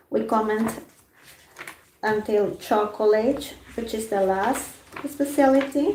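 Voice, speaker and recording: Her voice is fairly high in pitch with a dark, mellow tone and vocal fry, as the woman speaks with a Spanish accent in audible room echo. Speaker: food journalist. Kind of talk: live stream book discussion. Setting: YouTube live stream, alone. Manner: halting.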